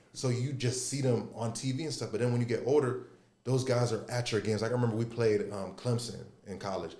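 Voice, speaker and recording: Room echo is audible as a man talks at a fairly quick pace and a medium pitch. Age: 30s. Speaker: former college basketball player. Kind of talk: casual chat.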